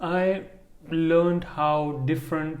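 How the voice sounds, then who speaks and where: A man's voice carries audible room echo. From India. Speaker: podcast co-host. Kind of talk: casual chat. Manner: halting.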